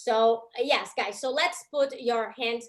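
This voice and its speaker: At a moderate pace, a woman with a Brazilian accent speaks in a fairly high pitch. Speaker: comedy show host. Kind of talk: live show hosting. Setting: video call. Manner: animated.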